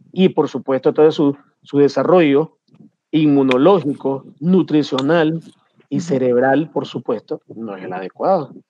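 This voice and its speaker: Using a normal speaking voice, a man talks fairly slowly at a fairly high pitch, with ordinary pitch variation and big swings in loudness. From Nicaragua. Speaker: pediatrician. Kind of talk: panel discussion.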